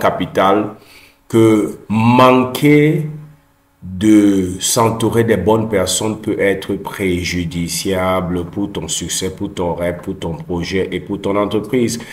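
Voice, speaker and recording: Over a quiet background with audible room echo, a man speaks at a very slow pace. His voice is fairly low, with ordinary pitch variation. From Cameroon. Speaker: personal development YouTuber. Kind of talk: motivational talk. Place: home room. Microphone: earbuds.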